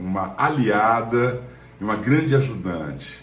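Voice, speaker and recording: A man's fairly low voice at a fairly slow pace, with audible room echo and noticeable background noise. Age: 60s. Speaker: actor. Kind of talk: testimony.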